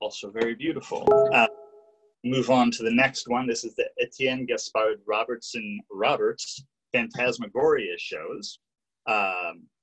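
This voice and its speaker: With music behind him, a man speaks at a fairly slow pace. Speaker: guest. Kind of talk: lecture. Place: home room. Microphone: video call.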